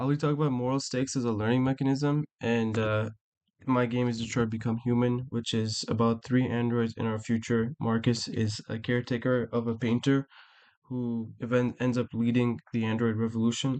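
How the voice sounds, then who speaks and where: A man speaks in a monotone, flat manner. The background is quiet. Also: medium pitch for a man. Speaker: student presenter. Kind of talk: class presentation. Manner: fast; halting, with fillers and restarts.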